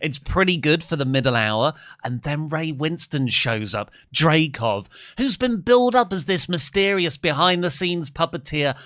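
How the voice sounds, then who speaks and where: A man with a slight Kent accent talks at a moderate pace in a fairly high, bright and sharp voice, his pitch swinging very widely. The sound is dry and close with no echo, on a very clean recording with a silent background. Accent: slight Kent, south-east England. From England, Kent. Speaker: film podcast co-host. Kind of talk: casual chat.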